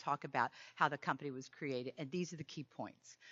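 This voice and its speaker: Talking at a fairly quick pace, a woman's voice carries vocal fry. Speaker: keynote speaker on sales. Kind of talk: conference talk. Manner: fast; animated.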